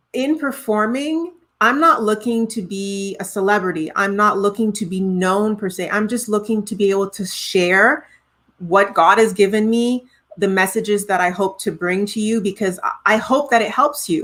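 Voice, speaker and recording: In a Trinidadian accent, a woman speaks at medium pitch with ordinary pitch variation. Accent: Trinidadian, noticeable. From Montreal, Quebec, Canada (born in Trinidad). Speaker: singer-songwriter. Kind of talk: interview conversation.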